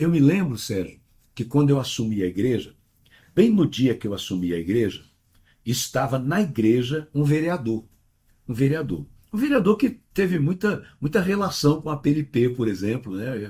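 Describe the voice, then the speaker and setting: A man talks at a moderate pace in a dark, mellow, somewhat breathy tone. His fairly high pitch moves in very wide swings. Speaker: pastor. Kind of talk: interview.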